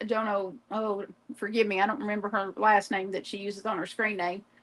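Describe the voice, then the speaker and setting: A woman's fairly high, bright, sharp voice in a Southern US accent at a moderate pace. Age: 50s. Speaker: crafter livestreamer. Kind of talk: casual chat. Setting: live stream.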